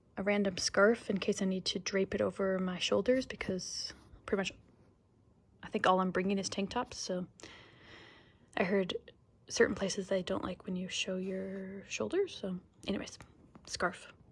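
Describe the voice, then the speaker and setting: A somewhat breathy woman with an American accent and long, frequent pauses. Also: medium pitch for a woman, moderate pace. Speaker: travel vlogger. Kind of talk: casual vlog chat. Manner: animated.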